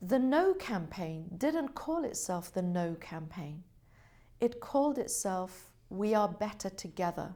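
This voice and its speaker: In a British accent, a woman speaks at a medium pitch with a dark, mellow tone, very wide pitch swings and a fairly slow pace. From Britain. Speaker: government representative. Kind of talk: interview. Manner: formal.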